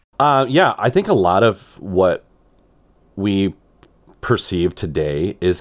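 A man with a fairly low pitch talks at a very slow pace, with ordinary pitch variation, long and frequent pauses, and very even loudness on a very clean recording with a silent background. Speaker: podcast co-host. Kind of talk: casual chat.

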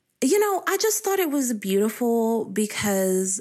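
In a very clean recording with a silent background, a woman with an Appalachian accent talks at a fairly slow pace. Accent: Appalachian Southern US. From US South, eastern Kentucky Appalachia. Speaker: poetry researcher. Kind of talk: interview.

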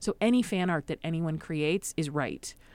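A woman with an Upper Midwest accent speaks at a fairly low pitch with ordinary pitch variation. The recording is very clean, with a silent background. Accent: Upper Midwest American. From US Midwest, Madison, Wisconsin. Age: 30s. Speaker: improv comedian and fat activist. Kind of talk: casual interview. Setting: studio.

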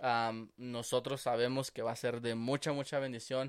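A man speaks in a normal speaking voice at medium pitch, with fairly even intonation and a fairly slow pace. The recording is very clean, with a silent background. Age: 20s. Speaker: podcast co-host. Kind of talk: casual chat.

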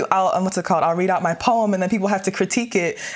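A woman of medium pitch talks with fairly even intonation in an ordinary speaking voice. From US, Nigerian American family. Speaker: undergraduate student. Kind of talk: casual discussion.

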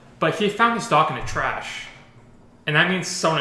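The speech has lively intonation, with noticeable background noise behind it. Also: man. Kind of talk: casual chat.

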